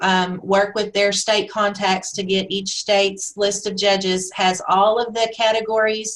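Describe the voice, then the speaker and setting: At a fairly slow pace, a woman speaks in an unremarkable speaking voice of medium pitch with fairly even intonation. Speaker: national member recognition chair presenting a webinar. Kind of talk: webinar presentation with Q&A. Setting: webinar.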